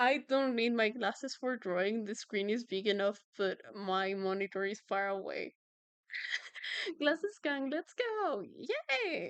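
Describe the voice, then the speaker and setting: A woman with a Spanish accent speaks at a fairly slow pace with a fairly high pitch and lively intonation. The sound is dry and close, with no echo. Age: 20s. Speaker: streamer and artist. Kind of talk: casual chat. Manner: halting.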